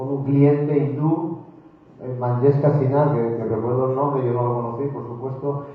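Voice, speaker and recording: Noticeable background noise and audible room echo surround this man. His fairly high voice stays monotone, with flat intonation. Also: moderate pace. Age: 60s. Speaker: business executive. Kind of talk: technical talk to students. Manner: halting.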